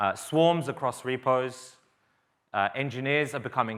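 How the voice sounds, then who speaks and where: A man with an Australian accent and a bright, sharp tone on a very clean recording with a silent background. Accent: somewhat Australian, picked up in Australia. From England, East London. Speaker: software engineer, open source maintainer. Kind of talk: conference talk. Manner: casual, with fillers.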